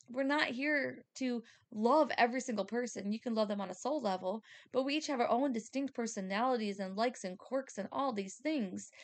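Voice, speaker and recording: Speaking at a fairly quick pace, a woman with a fairly high pitch sounds animated and uses ordinary pitch variation. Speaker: spiritual podcast host and medium. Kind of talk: solo monologue podcast. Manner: fast; loud, animated.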